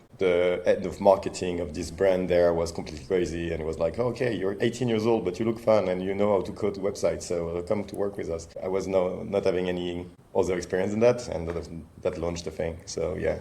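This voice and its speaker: A man talks at a fairly quick pace with a French accent. His pitch is very deep and low, and his intonation stays fairly even. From France. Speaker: startup founder and CEO. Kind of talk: interview. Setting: podcast recording.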